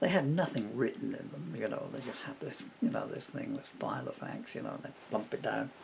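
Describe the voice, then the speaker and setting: Talking at a fairly quick pace with hardly any pauses, a man is heard over noticeable background noise. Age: 60s. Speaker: poet and lyricist. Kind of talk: casual monologue. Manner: halting.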